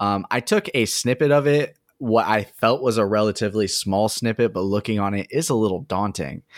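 With hardly any pauses, a man in a normal speaking voice talks at a fairly quick pace, fairly low in pitch with ordinary pitch variation, in a dry, close sound with no echo and a very clean recording with a silent background. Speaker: podcast host. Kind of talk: casual chat. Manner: relaxed, casual.

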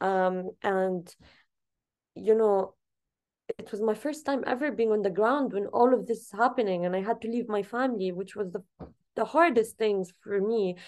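In an Arabic accent, a woman speaks at a moderate pace and fairly high pitch with ordinary pitch variation, big swings in loudness and long, frequent pauses. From Gaza, Palestine. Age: 20s. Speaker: activist and journalist. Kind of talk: interview.

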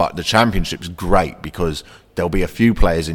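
Speaking at a very fast pace, a man delivers his lines in a very deep, low pitch. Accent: South London. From south London. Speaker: comedian. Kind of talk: casual chat.

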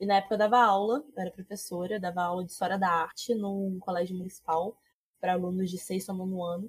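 Somewhat breathy, the voice moves at a very fast pace in a flat monotone. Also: woman, medium pitch for a woman. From Rio de Janeiro state interior. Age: 20s. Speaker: Magic streamer and historian. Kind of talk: casual chat.

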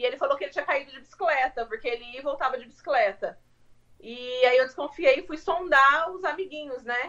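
With big swings in loudness, a woman speaks at a fairly quick pace in a high pitch with ordinary pitch variation. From Brazil, interior of São Paulo state. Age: 30s. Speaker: homemaker, immigrant mother. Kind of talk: casual interview. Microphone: phone mic, speaking quietly.

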